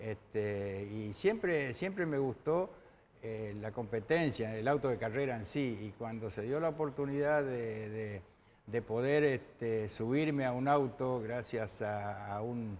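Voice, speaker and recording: A man talks very slowly, his pitch medium. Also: ordinary pitch variation. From Argentina, Chaco province (Machagay). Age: 60s. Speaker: retired racing driver. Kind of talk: TV interview. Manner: hesitant, many fillers.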